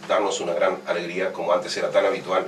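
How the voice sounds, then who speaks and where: Fairly brisk male speech with noticeable background noise and room echo that can be heard. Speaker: radio host. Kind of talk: radio interview. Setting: radio studio.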